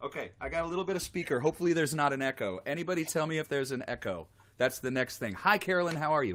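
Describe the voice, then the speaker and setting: A man's fairly high-pitched voice rushes along at a very fast pace, its pitch rising and falling in an ordinary way. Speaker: singer-songwriter and guitarist hosting a live stream. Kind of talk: live stream interview chat. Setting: live stream video call. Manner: soft-spoken.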